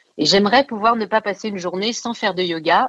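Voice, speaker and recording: The woman's medium-pitched voice comes through dry and close, with no echo. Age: 40s. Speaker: actress and writer. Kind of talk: casual radio interview. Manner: animated.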